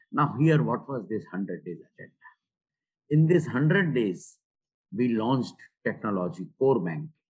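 A man with an Indian accent speaks at medium pitch with vocal fry and very wide pitch swings. His pace is fairly slow, with long, frequent pauses. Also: big swings in loudness. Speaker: retired bank executive and author. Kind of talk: interview. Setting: remote call. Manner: halting.

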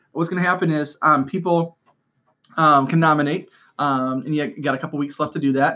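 A man with a fairly high, bright and sharp voice talks at a fairly quick pace with fairly even intonation. The recording is very clean, the background silent. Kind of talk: casual chat. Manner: fast.

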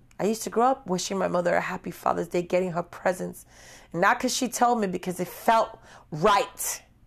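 In a very clean recording with a silent background, a woman with an American accent and vocal fry speaks at a fairly quick pace with ordinary pitch variation. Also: medium pitch for a woman. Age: 40s. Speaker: podcast host. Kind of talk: personal monologue.

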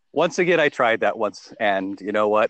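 In an ordinary speaking voice, a man with an American accent speaks at a fairly quick pace. The sound is dry and close with no echo. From England. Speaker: consultant and father. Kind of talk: casual chat. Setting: group call.

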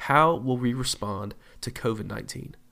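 A man speaks at a medium pitch with vocal fry. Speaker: pastor. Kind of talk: podcast devotional talk. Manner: hesitant, many fillers.

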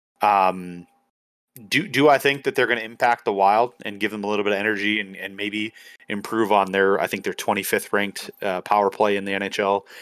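A man with an unremarkable speaking voice and fairly low pitch talks at a fairly quick pace with fairly even intonation, the recording very clean with a silent background and a dry, close sound with no echo. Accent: American. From Minnesota. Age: 30s. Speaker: podcast co-host. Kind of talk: casual sports chat.

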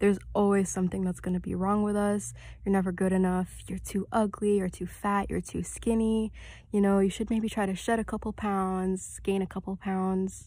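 A woman speaks at a moderate pace and a medium pitch, with a dark, mellow tone and a somewhat breathy quality. Her intonation is monotone and flat, and the recording is very clean with a silent background. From Middle East (Kuwait, Saudi Arabia), moved to Canada. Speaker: podcast host. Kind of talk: casual solo talk on faith and self-confidence.

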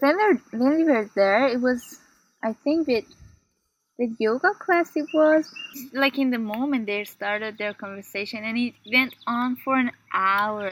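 A woman speaks with an Iranian accent in a high pitch and lively intonation. The sound is dry and close, with no echo. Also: fairly slow pace. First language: Persian. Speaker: PhD student. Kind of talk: casual chat. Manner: lively, varied intonation; laughs often.

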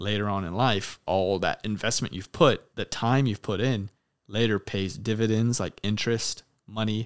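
A man talks at a moderate pace in a normal speaking voice, fairly low in pitch with ordinary pitch variation. The recording is very clean, with a silent background. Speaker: podcast host and military air traffic controller. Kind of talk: casual chat. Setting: in-person recording with camera.

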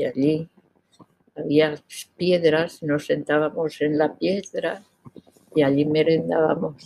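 A woman with a very deep, low voice and a dark, mellow tone speaks at a very slow pace with fairly even intonation. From Spain, rural village near Requena (Valencia region). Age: 80s+. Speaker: grandmother sharing childhood memories. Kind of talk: interview, personal reminiscence.

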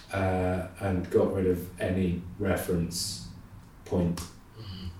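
With audible room echo, a man speaks in a very deep, low pitch and a dark, mellow tone that is somewhat breathy. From English Midlands. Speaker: painter. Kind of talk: casual chat. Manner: hesitant, many ums.

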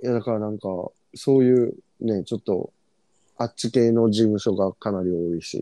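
A man with a strong Fukuoka accent speaks at a moderate pace in a medium-pitched, dark, mellow tone with fairly even intonation. Long, frequent pauses break his speech, and the sound is dry and close with no echo. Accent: strong rural Fukuoka dialect intonation. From Fukuoka, Japan. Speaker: podcast co-host. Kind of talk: casual chat.

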